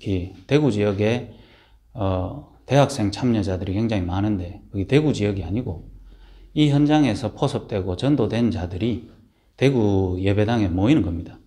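Over a quiet background, a man speaks in a fairly low pitch with a dark, mellow tone that is somewhat breathy. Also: ordinary pitch variation, moderate pace. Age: 30s. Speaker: minister. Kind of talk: casual talk to camera. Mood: earnest, calm. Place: home room. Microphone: phone near.

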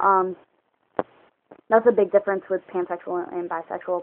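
A woman mumbles in a fairly low pitch. Light background noise is present. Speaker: vlogger. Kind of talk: casual talk to camera. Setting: low-quality phone recording. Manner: mumbling, rambling. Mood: calm, opinionated. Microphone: phone near.

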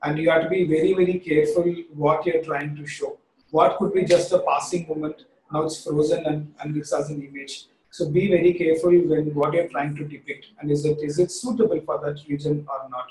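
In an Indian accent, the speaker keeps a fairly even intonation, with big swings in loudness and audible room echo. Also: man. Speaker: creative director; presenter. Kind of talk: webinar presentation. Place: home room. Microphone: webcam.

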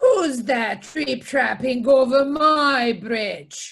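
A female-sounding voice puts on a character voice, high-pitched, growling and bellowing. It moves at a very slow pace. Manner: menacing, threatening.

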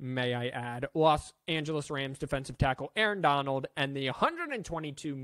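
The sound is dry with no echo, over a quiet background. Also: man. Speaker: sports streamer. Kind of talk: sports news commentary. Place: home room. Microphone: studio mic.

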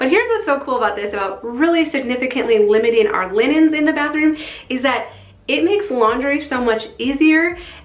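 With audible room echo, a woman talks at a fairly quick pace in a high pitch. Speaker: home organizing vlogger. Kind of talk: casual vlog chat. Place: bathroom.

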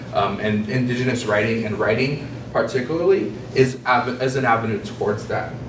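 A man speaks at a moderate pace with an American accent and fairly even intonation. Noticeable background noise is present. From Navajo Nation, US Southwest. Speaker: poet. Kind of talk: conference talk. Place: meeting room. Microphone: camera far.

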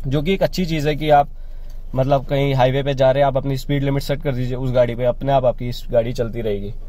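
A man's dark, mellow tone at a fairly quick pace with fairly even intonation, the sound dry with no echo. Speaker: car reviewer. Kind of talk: product review walkthrough. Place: car. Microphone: phone near.

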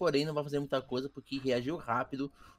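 A man with a fairly high pitch. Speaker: game commentator. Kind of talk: live sports-style esports commentary. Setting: recorded gameplay commentary. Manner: animated, excited play-by-play.

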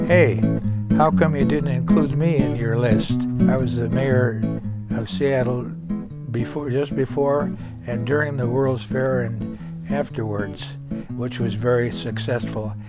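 Over loud music in the background, a man speaks at a fairly slow pace with long, frequent pauses, the sound dry with no echo. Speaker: former mayor. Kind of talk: casual talk to camera. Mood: warm, reminiscing. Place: home room.

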